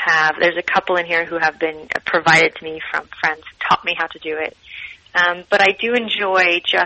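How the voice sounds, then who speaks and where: A woman's fairly low voice with an American accent, fairly even intonation and a moderate pace, over noticeable background noise. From Utah. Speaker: cookbook author. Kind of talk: interview.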